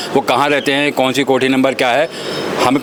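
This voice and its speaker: There is noticeable background noise behind this man's fairly high-pitched voice. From India, Delhi. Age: 60s. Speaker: local trader. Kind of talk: street interview. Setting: outdoors in a market lane. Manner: animated.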